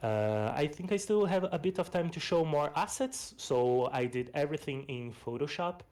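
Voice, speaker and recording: A man with a fairly high pitch and lively intonation at a moderate pace, hardly any pauses. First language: Portuguese. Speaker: game developer and pixel artist. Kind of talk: presentation of a game project. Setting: online voice stage. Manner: casual, with fillers.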